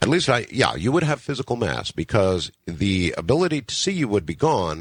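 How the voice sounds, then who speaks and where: A man's medium-pitched voice with vocal fry and very wide pitch swings, at a moderate pace over a quiet background. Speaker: radio talk show host. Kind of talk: late-night radio broadcast. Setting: radio studio.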